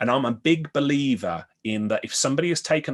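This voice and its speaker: A man speaks with a Birmingham accent at a moderate pace. His intonation is lively. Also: quiet background. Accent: Birmingham (Brummie). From Birmingham, England. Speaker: IT business consultant. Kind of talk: podcast interview.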